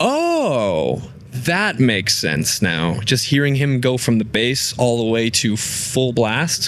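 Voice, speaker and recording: Against noticeable background noise, a man at a medium pitch talks at a very slow pace with lively intonation and very even loudness. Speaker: metal vocalist. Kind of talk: interview answer.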